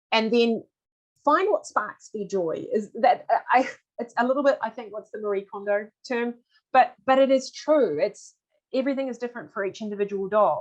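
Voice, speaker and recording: With lively intonation and a fairly high pitch, a woman speaks in big swings of loudness. She leaves long, frequent pauses. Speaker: veterinarian and dog behaviour presenter. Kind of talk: webinar presentation. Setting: online webinar. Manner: fast.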